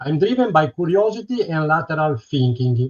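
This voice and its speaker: With an Italian accent, a man speaks at a moderate pace, his pitch swinging very widely. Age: 60s. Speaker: retired electronics technician. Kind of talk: prepared presentation.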